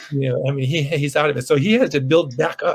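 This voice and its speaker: A man with an American accent and medium pitch speaks at a very fast pace, somewhat breathy and with fairly even intonation, in a dry, close sound with no echo. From Boston. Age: 70s. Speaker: blues musician. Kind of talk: casual chat. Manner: halting.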